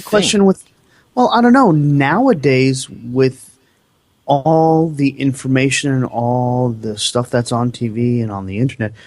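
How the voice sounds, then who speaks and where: At a fairly slow pace, a man speaks in a plain, everyday voice with medium pitch and ordinary pitch variation. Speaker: radio co-host. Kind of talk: talk radio conversation.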